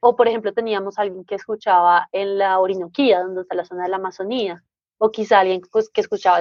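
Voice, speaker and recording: A woman talks at a very fast pace. Her pitch is medium and her intonation fairly even. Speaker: podcaster. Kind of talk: interview.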